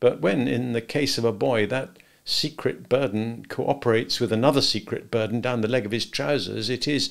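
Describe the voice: The text is read aloud in a plain manner.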